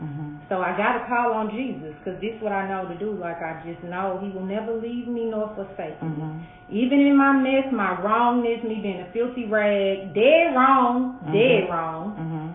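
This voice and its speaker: A woman with an American accent talks at a medium pitch and a moderate pace, with lively intonation and hardly any pauses, over noticeable background noise. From St. Louis, Missouri. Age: 40s. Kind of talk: interview answer.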